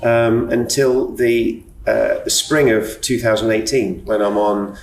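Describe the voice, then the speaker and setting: A man speaks with audible room echo. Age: 60s. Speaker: retired businessman sharing OCD experience. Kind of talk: podcast interview, personal testimony. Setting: hotel bar.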